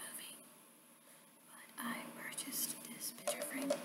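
Whispering at a moderate pace, a woman makes big swings in loudness. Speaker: ASMR creator. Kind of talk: ASMR soft-spoken talk to camera. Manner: soft-spoken. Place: home room. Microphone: webcam.

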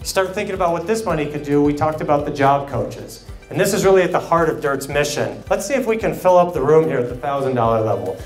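Faint music plays in the background as a man talks very fast in an energetic tone, his pitch fairly high. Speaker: charity auctioneer. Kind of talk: charity auction bid calling. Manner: fast, rhythmic, energetic. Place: hall. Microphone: handheld.

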